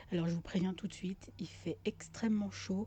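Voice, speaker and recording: Soft-spoken and fairly slow, a woman talks with vocal fry and a dark, mellow tone. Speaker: gaming youtuber. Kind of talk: let's play commentary. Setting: home with open window. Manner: hesitant.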